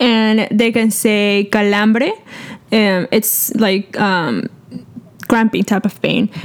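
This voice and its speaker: With a Spanish accent and fairly even intonation, the speaker goes at a very slow pace against noticeable background noise. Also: woman. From Peru. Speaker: medical student. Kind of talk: educational casual chat.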